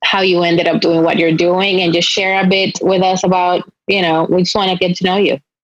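A woman with a Spanish accent speaks at a medium pitch and a fairly quick pace, her loudness very even and her intonation monotone and flat. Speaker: podcast host. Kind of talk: interview.

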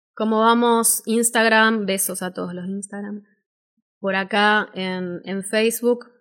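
The speech is very slow and monotone, with flat intonation and big swings in loudness. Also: woman, medium pitch for a woman. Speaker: voice-over artist and speaking teacher. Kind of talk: live-stream workshop talk.

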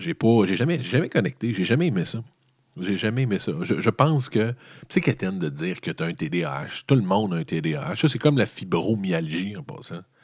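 Against a quiet background, a man with a Quebec accent speaks at a fairly low pitch with lively intonation. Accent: Québécois French. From Quebec (Montreal). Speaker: news commentator. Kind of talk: solo news commentary monologue. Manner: casual, conversational.

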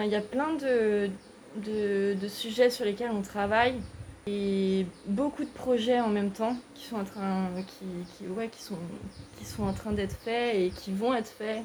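A woman speaks very slowly at a fairly high pitch. Her intonation stays fairly even while her loudness swings widely. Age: 20s. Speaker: civic service volunteer at an NGO. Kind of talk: casual interview.

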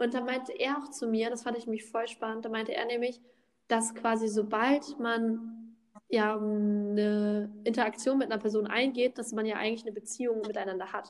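The woman's voice is fairly high and monotone, with flat intonation. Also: moderate pace. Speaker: podcast co-host. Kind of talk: casual chat. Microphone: echo in empty room.

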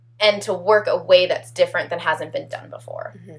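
Noticeable background noise is present as the words come very fast. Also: woman. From Atlanta, Georgia (city proper). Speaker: actor and organization co-founder. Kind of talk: casual interview.

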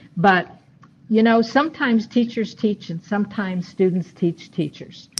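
A woman speaks with an American accent at a fairly slow pace. Her voice is somewhat breathy. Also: big swings in loudness. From New York State (Rochester area). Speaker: retired university administrator and educator. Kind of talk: interview, personal storytelling.

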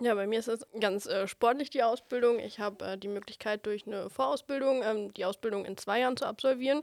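A woman with a normal speaking voice talks at a fairly quick pace with hardly any pauses, her fairly high pitch varying in an ordinary way. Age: 20s. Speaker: trainee at a wholesale company. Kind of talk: casual interview. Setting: studio.

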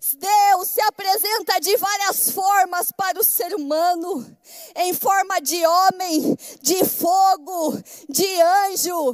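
A woman speaks at a very slow pace in an extremely high pitch with ordinary pitch variation. Noticeable background noise runs under her voice. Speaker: pastor. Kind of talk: sermon. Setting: church.

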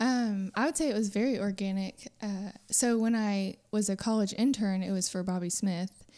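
In a very clean recording with a silent background, a woman with a dark, mellow tone talks with hardly any pauses and ordinary pitch variation. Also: medium pitch for a woman, moderate pace. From Texas, Houston area. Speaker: pastor's wife. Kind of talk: casual chat. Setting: dining room at home.

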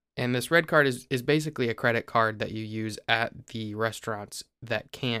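A man with a Midwestern US accent speaks in a bright, sharp tone with fairly even intonation and hardly any pauses, on a very clean recording with a silent background. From Ohio. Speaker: podcast co-host. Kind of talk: casual chat.

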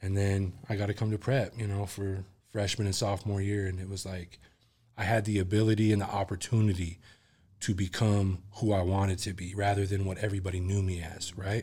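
At a fairly quick pace, a man talks with a fairly low pitch and a dark, mellow tone. His voice is somewhat breathy, with monotone, flat intonation. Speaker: musician. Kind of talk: casual chat. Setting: podcast studio.

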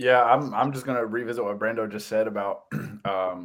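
A man talks at a fairly quick pace with fairly even intonation on a very clean recording with a silent background. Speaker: podcast co-host. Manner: dramatic, jokey.

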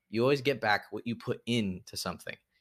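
A normal speaking voice at a moderate pace, with ordinary pitch variation and a very clean recording over a silent background. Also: man. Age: 20s. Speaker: podcast host. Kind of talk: unscripted solo monologue. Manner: casual, rambling with filler words.

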